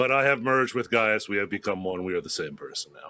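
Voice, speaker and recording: A man puts on a raspy character voice at a medium pitch. He talks very fast, with big swings in loudness. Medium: actual play. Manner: mock-solemn.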